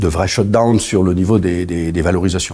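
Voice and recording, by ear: Low in pitch, this man's voice has a slightly mellow tone.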